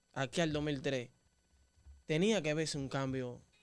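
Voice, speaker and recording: A man with a Dominican accent speaks at a fairly slow pace against a quiet background. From Dominican Republic. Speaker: interviewer. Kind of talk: interview. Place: studio. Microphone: studio mic.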